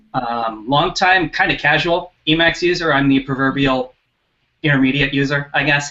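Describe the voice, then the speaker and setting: A man with an American accent has an unremarkable speaking voice. His pitch is fairly high with ordinary variation, and his pace is moderate. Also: very even loudness. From United States. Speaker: game developer. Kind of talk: casual group video chat. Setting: video call.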